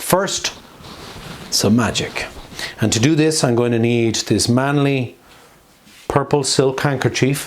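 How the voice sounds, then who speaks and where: With a slight Irish accent, a man speaks fairly slowly at a medium pitch, his loudness very even and pitch variation ordinary, pausing long and often amid noticeable background noise and audible room echo. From Ireland, Dublin. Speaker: magician and street performer. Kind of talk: introducing the next act; stage comedy magic show.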